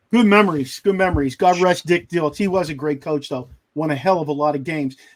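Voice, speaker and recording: Talking at a very fast pace, a man with a slight Pittsburgh accent has a fairly high pitch, ordinary pitch variation and an animated tone, on a very clean recording with a silent background. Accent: slight Pittsburgh accent, still noticeable. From Pittsburgh area, Pennsylvania. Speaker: sports podcast host. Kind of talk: casual chat.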